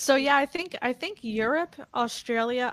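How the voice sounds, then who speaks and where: With an American accent and an ordinary speaking voice, a woman talks at a moderate pace with lively intonation on a very clean recording with a silent background. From New Jersey. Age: 40s. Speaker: podcast host, nutrition coach. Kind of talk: casual interview.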